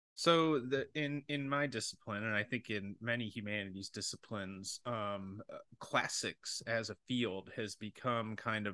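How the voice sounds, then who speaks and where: A man with an American accent, fairly low pitch, ordinary pitch variation and a fairly slow pace, his tone bright and sharp, in a dry, close sound with no echo and a quiet background. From US Great Lakes region. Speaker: podcast host and rhetoric professor. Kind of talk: interview conversation. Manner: hesitant, many fillers.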